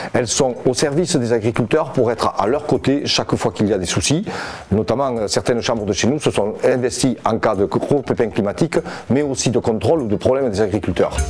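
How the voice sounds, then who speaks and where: Over noticeable background noise, a man talks at a fairly quick pace with very even loudness. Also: medium pitch for a man, ordinary pitch variation. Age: 60s. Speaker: farmers' union leader. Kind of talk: interview answers.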